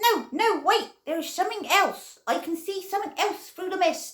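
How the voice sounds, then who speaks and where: In a squeaky, put-on character voice, a woman talks at an extremely high pitch and a moderate pace with ordinary pitch variation. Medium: read story. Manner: earnest, slow-witted.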